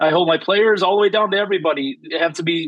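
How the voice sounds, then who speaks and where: Loud and energetic in tone, the voice moves at a fairly quick pace with ordinary pitch variation. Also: man. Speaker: high school football coach. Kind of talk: interview.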